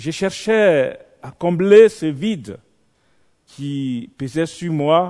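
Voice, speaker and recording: Over a quiet background, a man with a fairly high pitch and a dark, mellow tone speaks at a very slow pace with lively intonation, big swings in loudness, and long, frequent pauses. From Côte d'Ivoire. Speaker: visiting preacher. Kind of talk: sermon with personal testimony. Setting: church evening vigil. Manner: animated.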